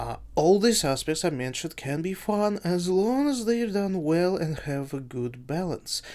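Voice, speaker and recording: Someone with a non-native accent speaks at a moderate speed. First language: not English. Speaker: gaming youtuber and streamer. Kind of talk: casual video review monologue. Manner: halting.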